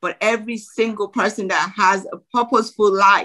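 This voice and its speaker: A woman with a Nigerian accent speaks at a moderate pace in a bright, sharp tone, her fairly high pitch showing ordinary variation. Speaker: former bank executive and business coach. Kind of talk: motivational interview talk.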